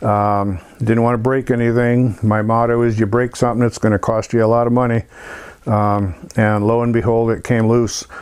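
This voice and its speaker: A man talks at a moderate pace and medium pitch. His intonation is monotone and flat, and his loudness stays very even. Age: 60s. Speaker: motorcycle restorer. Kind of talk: tutorial. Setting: workshop. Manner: halting, many fillers.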